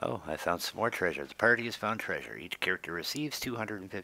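The intonation has a lively lift. It comes from an unforced reading voice.

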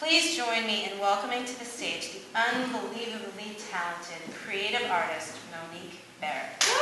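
Loud background noise and audible room echo, at a moderate pace with hardly any pauses. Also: woman. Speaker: event host. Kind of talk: speaker introduction. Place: stage.

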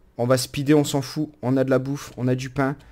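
A man at a fairly slow pace on a very clean recording with a silent background. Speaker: gaming YouTuber. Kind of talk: let's play commentary. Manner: animated.

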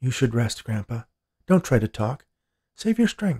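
In a put-on character voice with big pitch swings, the speaker moves at a fairly slow pace with a dark, mellow tone and a slightly husky edge, in a dry, close sound with no echo. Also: man, medium pitch for a man.

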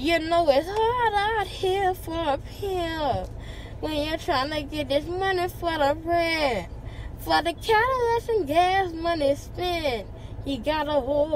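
Talking at a very slow pace, a woman uses lively intonation over light background noise, the sound dry with no echo. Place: car.

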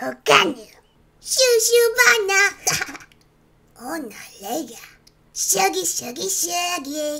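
In a put-on character voice, a woman speaks with an extremely high pitch and very wide pitch swings. Her pace is very slow, with long, frequent pauses.

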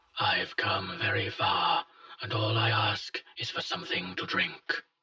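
A man's put-on character voice, raspy and high-pitched, at a fairly slow pace with ordinary pitch variation. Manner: loud, confident.

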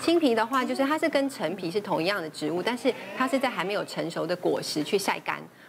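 Through noticeable background noise, a woman talks at a fairly quick pace with lively intonation. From Taiwan. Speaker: traditional Chinese medicine doctor. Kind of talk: TV talk show discussion. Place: studio.

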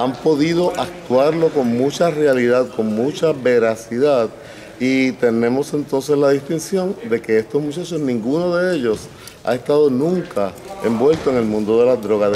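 The speaking pace is fairly slow. Light background noise can be heard. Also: man, ordinary pitch variation. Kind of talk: interview answer. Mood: calm, earnest. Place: hall.

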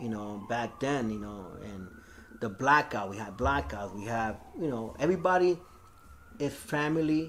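A man speaks at a moderate pace with very wide pitch swings and big swings in loudness, with light background noise. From New York, South Bronx; New York. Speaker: graffiti artist; interviewee. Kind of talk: oral history interview. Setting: recorded interview. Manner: casual, filler-heavy. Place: hall.

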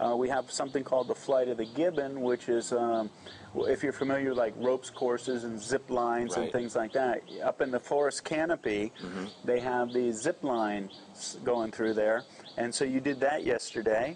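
Over light background noise, a man keeps a moderate pace and fairly even intonation. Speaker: interviewer, channel host. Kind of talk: interview questions. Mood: relaxed, laughing. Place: cafe.

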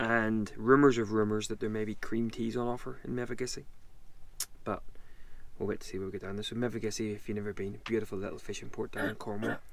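A man with a fairly low pitch talks at a very fast pace. His intonation is monotone and flat, and the sound is dry with no echo. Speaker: travel vlogger. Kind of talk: casual vlog chat. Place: car. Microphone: phone near.

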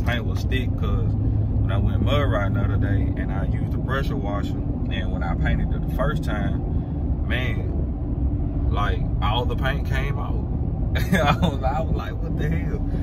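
Loud background noise sits behind a man speaking at a moderate pace. His sound is dry with no echo, and his pitch variation is ordinary. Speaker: truck vlogger. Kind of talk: casual vlog chat. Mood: relaxed, amused. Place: car. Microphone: phone near.

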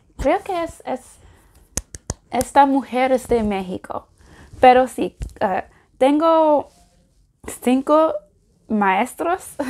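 Speaking at a very slow pace with long, frequent pauses, a woman uses a high pitch and lively intonation. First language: English (speaking Spanish). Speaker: language learner vlogger. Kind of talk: casual vlog. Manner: halting, many fillers. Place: home room. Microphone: lapel.

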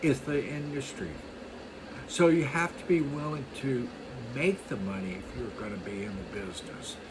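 A man with an American accent talks at a moderate pace in a medium pitch, his voice swinging very widely in pitch and heavily in loudness over noticeable background noise. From US East Coast. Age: 60s. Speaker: lawn care business owner. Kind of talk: monologue tutorial. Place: home room. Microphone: phone near.

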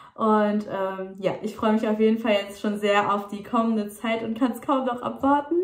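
At a moderate pace, the speech has fairly even intonation and audible room echo. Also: woman. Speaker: vlogger. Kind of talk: casual vlog chat. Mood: cheerful, a bit hurried. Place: home room. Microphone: phone near.

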